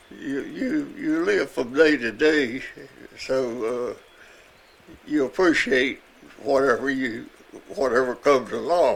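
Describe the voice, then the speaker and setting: Speaking in a Southern US accent, a man talks at a very slow pace with long, frequent pauses. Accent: Southern American. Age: 80s+. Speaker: retired firefighter. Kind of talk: interview answer.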